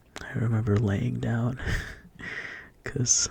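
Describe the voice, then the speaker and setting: Soft-spoken delivery at a fairly slow pace. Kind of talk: ASMR soft-spoken relaxation talk showing photos. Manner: soft-spoken, slow, relaxing.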